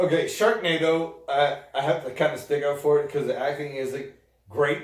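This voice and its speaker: A somewhat breathy voice with an American accent, ordinary pitch variation, a moderate pace and audible room echo. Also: man, fairly high pitch for a man. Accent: New York accent, comes out more at times. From upstate New York. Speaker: video podcast co-host. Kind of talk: casual chat.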